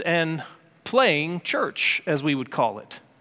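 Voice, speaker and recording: Bright, sharp tone in a man's raised, projected voice. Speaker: pastor. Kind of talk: sermon. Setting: church. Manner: earnest, urgent, impassioned preaching; direct, warm and conversational, with repeated restarts.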